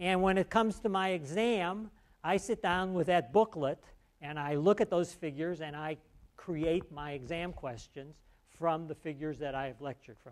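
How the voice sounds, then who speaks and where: A man with an ordinary speaking voice talks at a moderate pace and a fairly high pitch, with ordinary pitch variation. His loudness swings widely, and the recording is very clean with a silent background. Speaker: university professor. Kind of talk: lecture. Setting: lecture hall with students.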